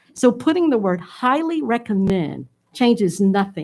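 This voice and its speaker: A woman of medium pitch sounds somewhat breathy as her voice moves through very wide pitch swings. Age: 60s. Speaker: school board member. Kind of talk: board meeting discussion. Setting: public board meeting. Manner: emphatic.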